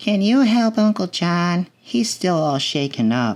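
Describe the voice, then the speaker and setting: In a very clean recording with a silent background, a man does a put-on character voice pitched high, moving slowly through very wide pitch swings at very even loudness. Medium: read story.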